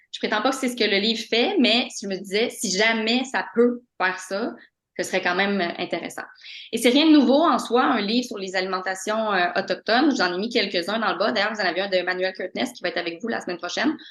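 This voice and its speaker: A woman's medium-pitched voice moves at a fairly quick pace, its pitch varying in an ordinary way. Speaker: postdoctoral researcher. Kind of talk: lecture. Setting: video call. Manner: fast; halting.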